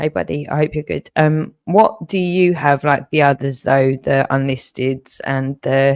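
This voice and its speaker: A woman with a very deep, low, shaky voice speaks at a fairly slow pace with ordinary pitch variation, the sound dry and close with no echo. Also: hardly any pauses. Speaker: livestreamer. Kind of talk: emotional livestream rant. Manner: repetitive, halting.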